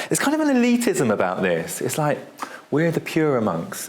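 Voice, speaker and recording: A man speaks with a British accent at a fairly quick pace. Audible room echo and noticeable background noise surround his voice. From United Kingdom. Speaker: historian, lecturer. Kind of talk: lecture. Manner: conversational, animated.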